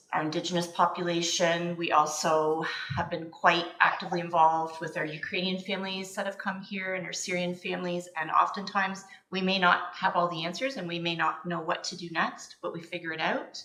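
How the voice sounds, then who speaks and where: A woman with a Canadian accent talks at a fairly quick pace with hardly any pauses, her voice fairly low and her intonation flat and monotone, with noticeable background noise and audible room echo. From Ontario, Canada. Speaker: registered nurse. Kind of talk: committee meeting introduction.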